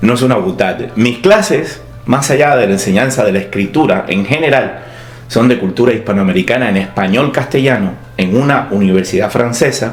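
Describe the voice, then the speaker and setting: This man has a medium pitch, ordinary pitch variation and very even loudness, speaking at a moderate pace. Noticeable background noise and audible room echo surround him. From Cuba. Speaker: writer and university teacher. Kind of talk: scripted opinion monologue. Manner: clear, broad vocalization.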